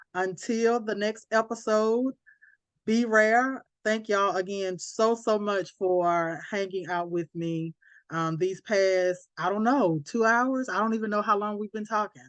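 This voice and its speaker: A woman with a Southern accent speaks at a medium pitch with ordinary pitch variation against a quiet background. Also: fairly slow pace. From US South, Alabama. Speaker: podcast host. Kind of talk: casual chat. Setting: podcast recording.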